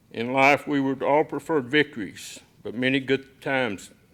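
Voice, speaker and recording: A man in a plain, everyday voice speaks fairly slowly at a medium pitch, his intonation fairly even. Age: 60s. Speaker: football coach, keynote speaker. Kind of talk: keynote speech. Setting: banquet stage with audience.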